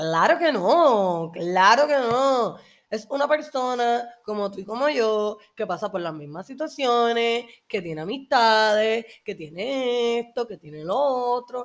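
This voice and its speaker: On a very clean recording with a silent background, a woman with a Puerto Rican accent speaks at a very slow pace and fairly high pitch with lively intonation. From Puerto Rico. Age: 20s. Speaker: podcast host. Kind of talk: personal monologue.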